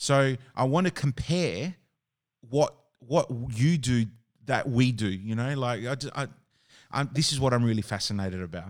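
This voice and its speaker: A man with an Australian accent speaks at a medium pitch and moderate pace, with lively intonation and long, frequent pauses. The recording is very clean, with a silent background. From Adelaide, Australia. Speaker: podcast host, wedding DJ and MC. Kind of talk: casual interview chat.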